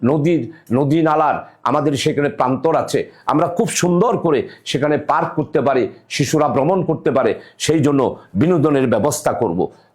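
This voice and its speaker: A man's fairly high voice shows ordinary variation in pitch. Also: very even loudness. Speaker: politician. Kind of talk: campaign speech. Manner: halting, with frequent pauses.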